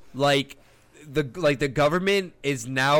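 A man in a normal speaking voice with an American accent, fairly slow in pace, with ordinary pitch variation. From Miami, Florida. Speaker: content creator, podcast co-host. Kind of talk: casual chat.

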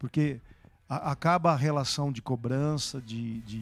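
Speaking at a fairly slow pace, a man with a fairly high pitch has an ordinary speaking voice. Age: 60s. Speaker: bishop. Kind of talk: live-streamed church talk show interview.

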